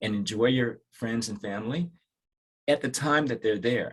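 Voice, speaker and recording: Speaking at a fairly quick pace, a man with an American accent has a medium pitch, ordinary pitch variation and a somewhat breathy sound. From Washington DC area. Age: 60s. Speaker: dermatologist. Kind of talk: podcast interview. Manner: reflective, with frequent fillers and restarts.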